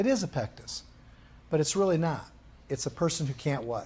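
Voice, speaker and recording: A man's dark, mellow tone at a fairly high pitch, with lively intonation. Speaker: rehabilitation course instructor. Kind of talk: lecture. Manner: fast.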